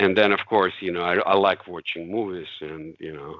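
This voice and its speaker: With a Russian accent, a man speaks at a very deep, low pitch and a moderate pace, in a dry sound with no echo against a quiet background. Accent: Russian accent (joked as Cleveland accent). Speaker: CAD software expert; interview guest. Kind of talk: casual chat. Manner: halting, many fillers. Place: home room. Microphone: video call.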